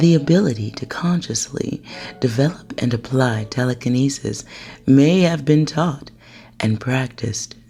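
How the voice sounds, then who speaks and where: Soft-spoken delivery at a fairly slow pace. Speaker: ASMR narrator. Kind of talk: soft-spoken ASMR narration. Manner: soft-spoken, calming.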